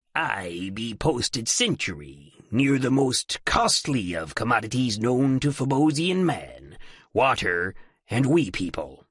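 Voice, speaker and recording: A man speaks in a put-on character voice at medium pitch. His pace is fairly slow. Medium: read story. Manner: grandiloquent, old-fashioned pirate speech.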